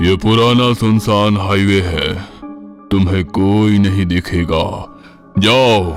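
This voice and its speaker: Over clear background music, a man does a cartoonish character voice, fairly low in pitch and very slow. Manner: commanding.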